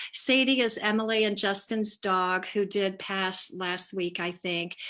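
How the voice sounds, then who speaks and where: A woman's bright, sharp voice at medium pitch, fairly even in intonation and fairly slow in pace. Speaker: spiritual life coach. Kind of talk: casual live stream talk. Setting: live video stream on Zoom/Facebook.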